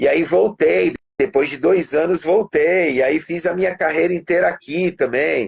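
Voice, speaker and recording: Fairly slow speech from a man, high in pitch, with ordinary pitch variation. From Brazil (born in Portugal, moved at 8-9). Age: 50s. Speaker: musician and studio producer. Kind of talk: music lesson demonstration; casual interview chat.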